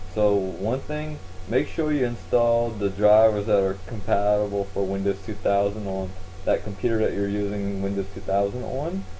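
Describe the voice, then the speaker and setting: A man with a fairly low voice and ordinary pitch variation talks at a moderate pace, with audible room echo. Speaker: tech tutorial youtuber. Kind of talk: screen-recorded tutorial. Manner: halting, self-correcting; casual.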